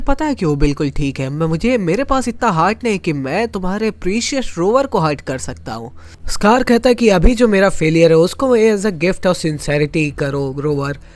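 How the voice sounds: A man with a high pitch, big pitch swings, and a moderate pace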